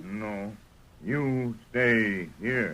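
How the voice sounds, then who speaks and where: Using a put-on character voice, a man speaks at a medium pitch with ordinary pitch variation. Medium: old radio play. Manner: terse, clipped.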